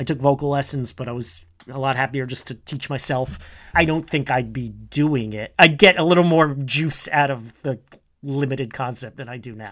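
This man uses a normal speaking voice at a medium pitch and moderate pace, with ordinary pitch variation and big swings in loudness. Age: 40s. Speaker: podcast co-host and trivia quizmaster. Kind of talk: casual chat. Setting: remote call.

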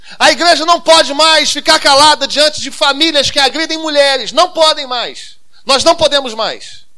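A man talks in a raised, projected voice at an extremely high pitch. His tone is bright and sharp. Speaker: pastor. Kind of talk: sermon. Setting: church.

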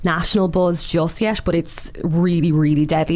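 A woman's fairly low voice with a Waterford accent and fairly even intonation, over noticeable background noise. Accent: Waterford Irish. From Ireland, Waterford city. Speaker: writer and social media creator. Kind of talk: casual interview chat.

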